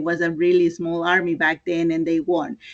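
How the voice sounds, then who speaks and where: A woman with a fairly low pitch speaks with a Spanish accent. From Mexico, Oaxaca (town of Mitla). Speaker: clothing entrepreneur. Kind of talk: interview. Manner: hesitant, many fillers.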